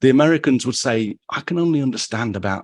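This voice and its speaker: A man with an English accent, recorded very cleanly against a silent background, with a dry, close sound and no echo. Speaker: photography podcast host. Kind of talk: casual interview.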